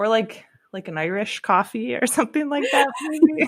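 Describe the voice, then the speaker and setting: At a moderate pace, a woman with a slight Buffalo accent speaks in a high voice. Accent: Buffalo accent, slight, shows on some vowels. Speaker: podcast guest, co-host of another podcast. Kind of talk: casual chat.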